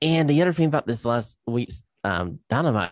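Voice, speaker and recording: Lively in intonation, a man with an unremarkable speaking voice talks at a fairly quick pace. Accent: American. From East Tennessee, US. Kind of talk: casual interview.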